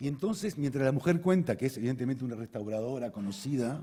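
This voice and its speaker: Somewhat breathy and dark, mellow in tone, a man talks at a fairly quick pace with lively intonation and fairly high pitch. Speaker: conference speaker, osteopath. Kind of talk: conference talk. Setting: stage with audience. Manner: fast; halting, repeats words.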